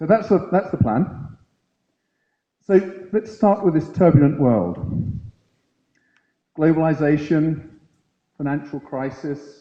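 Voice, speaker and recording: Speaking at a very slow pace with long, frequent pauses, a man uses a fairly high pitch, ordinary pitch variation and a dark, mellow tone. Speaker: conference speaker at a university. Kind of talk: lecture.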